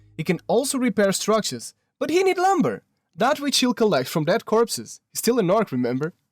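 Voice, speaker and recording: With a non-native accent, a man speaks at a high pitch and a fairly quick pace. His pitch swings very widely, and the sound is dry and close with no echo. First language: not English. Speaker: gaming video narrator. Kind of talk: scripted narration.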